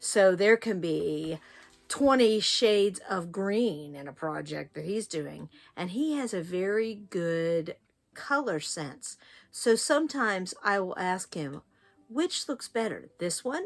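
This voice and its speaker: In a very clean recording with a silent background, a woman with an American accent speaks at a fairly slow pace in a medium-pitched voice that makes very wide pitch swings. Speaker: quilting tutor, former teacher. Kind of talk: tutorial. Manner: animated.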